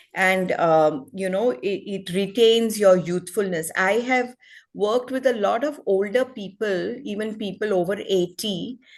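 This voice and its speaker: A woman with an unremarkable speaking voice talks at medium pitch and a fairly slow pace, with ordinary pitch variation and a quiet background. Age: 60s. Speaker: wellness expert. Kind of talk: presentation.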